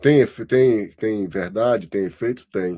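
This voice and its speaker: Here a man has a dark, mellow tone and lively intonation. He speaks at a fairly slow pace. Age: 60s. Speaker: university lecturer. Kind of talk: lecture feedback to student. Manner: conversational, halting.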